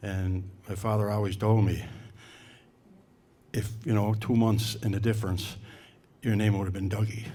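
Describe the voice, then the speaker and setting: A man's fairly low, dark, mellow voice comes out somewhat breathy in a monotone, flat intonation. He leaves long, frequent pauses, and room echo is audible. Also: moderate pace. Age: 70s. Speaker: hall of fame committee presenter. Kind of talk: award ceremony speech. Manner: halting.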